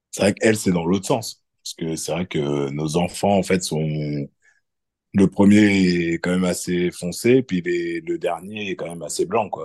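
A man speaks at a fairly slow pace in a very deep, low voice, with a dry, close sound and no echo. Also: ordinary pitch variation. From France. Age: 40s. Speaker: electrician. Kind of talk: casual interview. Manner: hesitant, many fillers.

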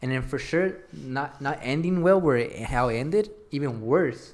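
A man speaks at a medium pitch with ordinary pitch variation in a plain, everyday voice. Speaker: podcast host. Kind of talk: casual chat. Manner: casual, slangy.

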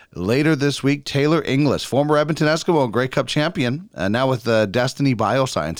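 A man talks at a fairly quick pace. He speaks in a Canadian Prairies accent. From Brandon, Manitoba, Canada. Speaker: podcast host. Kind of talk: casual interview chat; podcast intro with sponsor read.

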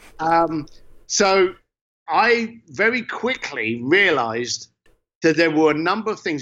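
In an East London accent, a man with a high pitch and a bright, sharp tone speaks with very wide pitch swings against a quiet background. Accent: East London (Cockney-leaning) English. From East London, England. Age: 50s. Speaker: entrepreneur and author. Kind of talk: interview conversation. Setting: standing in his garage.

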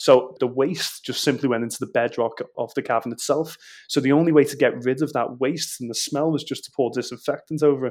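On a very clean recording with a silent background, a man with a Liverpool accent speaks at a fairly quick pace with hardly any pauses, a fairly high pitch and fairly even intonation. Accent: Scouse (Liverpool). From Liverpool, England (Walton). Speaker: Beatles tour guide. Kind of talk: casual interview.

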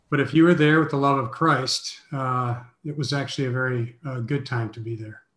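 A man with an American accent and a normal speaking voice, medium pitch, fairly even intonation, a fairly quick pace and big swings in loudness. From US Midwest (Minneapolis). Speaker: mission organization president and author. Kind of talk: interview.

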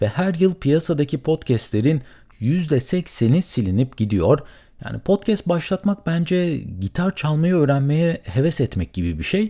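This man's voice is somewhat breathy with a dark, mellow tone, fairly high in pitch and moving in very wide pitch swings at a moderate pace, on a very clean recording with a silent background. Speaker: solo podcaster. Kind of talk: solo monologue about podcasting costs. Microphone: studio condenser mic with pop filter.

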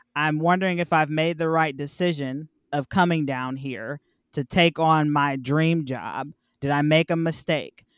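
A woman with a very deep, low pitch and an American accent, at a fairly slow pace with fairly even intonation, in a dry, close sound with no echo on a very clean recording with a silent background. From Cleveland, Ohio. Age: 30s. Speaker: podcast and radio producer. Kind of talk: interview, personal story.

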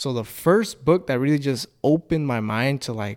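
This is an unremarkable speaking voice with ordinary pitch variation. The pace is fairly slow. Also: man. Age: 20s. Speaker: podcast host. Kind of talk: casual interview chat.

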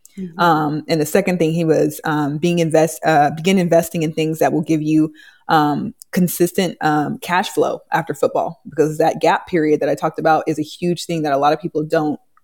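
A woman speaks with a Californian accent at a fairly quick pace. Her pitch is fairly low. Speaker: real estate agent and NFL wife. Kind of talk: casual interview chat. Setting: live online video call.

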